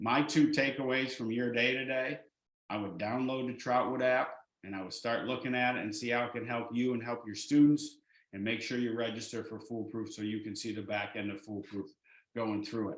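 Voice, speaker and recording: With an unremarkable speaking voice, a man talks at a fairly quick pace, medium in pitch and fairly even in intonation. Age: 60s. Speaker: education director presenting a curriculum. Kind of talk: webinar presentation. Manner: casual, with many fillers.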